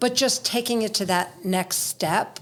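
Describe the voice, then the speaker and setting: A woman speaks in a normal speaking voice. Her intonation is fairly even and her pace moderate. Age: middle-aged. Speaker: podcast host. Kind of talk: podcast interview question.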